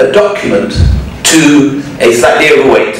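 A man speaks at a fairly slow pace with lively intonation. Strong room echo and light background noise surround his voice. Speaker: lecturer. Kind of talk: lecture. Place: hall.

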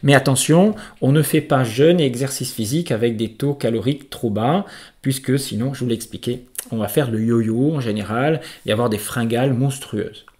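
In a very clean recording with a silent background, a man with an ordinary speaking voice talks at medium pitch and a moderate pace, with ordinary pitch variation. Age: 50s. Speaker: naturopath and trainer. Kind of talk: educational monologue.

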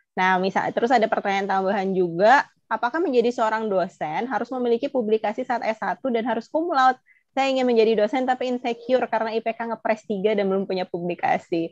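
Over a quiet background with a dry sound with no echo, a woman talks at a very fast pace in a fairly high pitch with ordinary pitch variation. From Indonesia. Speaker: webinar moderator. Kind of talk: webinar moderation. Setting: video call. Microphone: earbuds.

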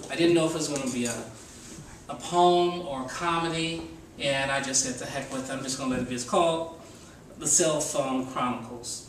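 A man's fairly high voice at a fairly quick pace, with audible room echo and light background noise. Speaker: stand-up comedian and poet. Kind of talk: stand-up comedy set with crowd work and story bits, open mic. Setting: stage with audience at open mic cafe. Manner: animated, playful, chatty with the audience. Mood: playful, amused. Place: cafe. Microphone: camera far.

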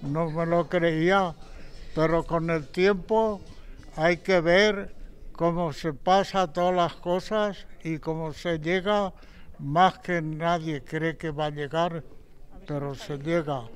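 A man's high-pitched voice at a very slow pace with fairly even intonation. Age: 80s+. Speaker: centenarian; interviewee. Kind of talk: interview. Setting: seniors' centre. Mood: grateful, warm, reflective. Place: hall. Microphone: handheld.

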